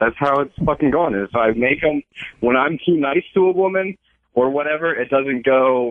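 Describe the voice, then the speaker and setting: An unremarkable speaking voice from a man with an American accent, fairly high pitch, ordinary pitch variation and a moderate pace. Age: 20s. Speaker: caller, college student. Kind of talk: casual chat. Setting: phone call.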